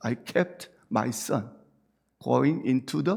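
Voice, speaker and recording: A man with a Busan accent, medium pitch and vocal fry, speaking at a very slow pace. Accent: Busan accent in English pronunciation. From South Korea, Busan. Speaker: pastor. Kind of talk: sermon. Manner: conversational, asks congregation questions.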